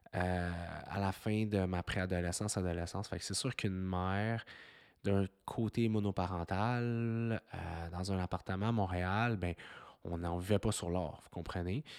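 Fairly slow speech in a Quebec accent, dry and close with no echo, on a very clean recording with a silent background. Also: man. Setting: kitchen at home, dog in background. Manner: less energetic than usual.

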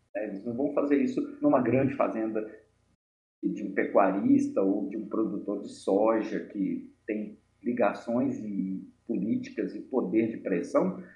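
Fairly slow speech from a man, set in audible room echo. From Minas Gerais, Brazil (Mariana). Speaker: pharmacist and activist. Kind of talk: interview.

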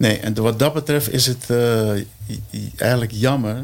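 This is a man talking. The rise and fall of his voice is fairly even. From Curaçao. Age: 60s. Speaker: percussionist. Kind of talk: casual chat.

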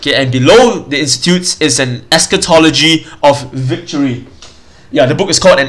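Amid noticeable background noise, a man with a fairly high pitch talks at a fairly quick pace with ordinary pitch variation. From Singapore. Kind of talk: solo teaching podcast. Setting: home recording, mic further away. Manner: casual, hesitant with fillers.

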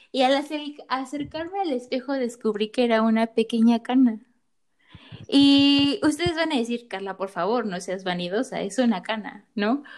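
Here a woman speaks in a high voice. Her intonation is lively. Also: moderate pace. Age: 20s. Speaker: psychologist podcast co-host. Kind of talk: casual chat.

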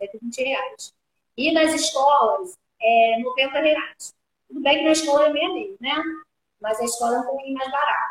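A woman's high-pitched voice at a fairly slow pace, with long, frequent pauses and ordinary pitch variation. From Rio de Janeiro, Brazil. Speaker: ballet teacher and school owner. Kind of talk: live-stream interview.

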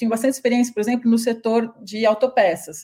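Somewhat breathy, this voice has a dark, mellow tone. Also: woman. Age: 30s. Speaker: business owner, internationalization consultant. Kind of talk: interview.

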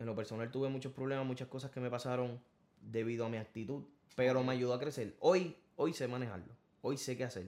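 With a normal speaking voice and medium pitch, a man talks at a fairly quick pace using fairly even intonation. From Puerto Rico, Corozal countryside. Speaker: singer. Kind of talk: interview. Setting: studio.

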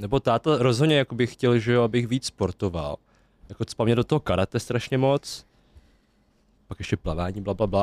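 A man talks at a very fast pace with lively intonation. The recording is very clean, dry and close, with a silent background and no echo. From Czech Republic, western Bohemia (Klatovy area). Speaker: podcast guest from the Vietnamese community. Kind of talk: casual chat.

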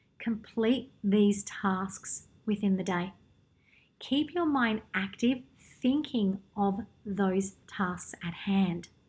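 A woman talks at a very slow pace with long, frequent pauses, her voice somewhat breathy. Her pitch is medium, with ordinary pitch variation. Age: 30s. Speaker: podcast host. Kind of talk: solo podcast monologue; guided meditation.

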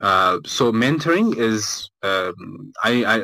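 A man speaks with a fairly low pitch and a bright, sharp tone. The recording is very clean, with a silent background. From Ethiopia, Addis Ababa. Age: 20s. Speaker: game studio founder and software engineer. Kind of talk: live audio room interview.

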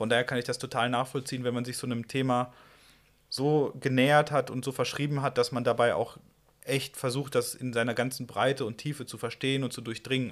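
On a very clean recording with a silent background, a man talks at a fairly quick pace and medium pitch in a monotone, flat intonation. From Westphalia, Germany (Ruhr area). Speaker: podcast host, outdoor blogger. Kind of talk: casual interview. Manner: halting, many fillers.

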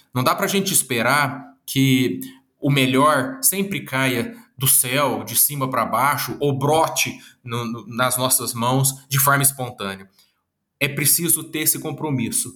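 A man with medium pitch and a bright, sharp tone speaks at a fairly slow pace. His pitch varies in an ordinary way, with audible room echo around him. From Minas Gerais, Brazil (Uberlândia, Triângulo Mineiro). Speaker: psychologist and speaker. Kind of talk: interview.

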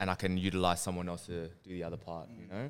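An Australian-accented man, recorded very cleanly against total silence. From Western Sydney, Australia. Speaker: clothing brand co-founder. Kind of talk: casual chat. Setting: their own studio space.

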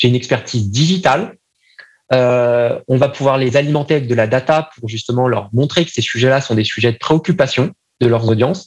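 Medium-pitched male speech in an ordinary speaking voice, moderately paced, its pitch varying in an ordinary way. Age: 30s. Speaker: marketing agency founder. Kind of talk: podcast interview.

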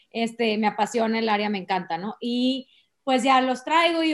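A woman speaks. Her pitch is high. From Monterrey, Mexico. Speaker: human resources director. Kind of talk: interview. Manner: animated.

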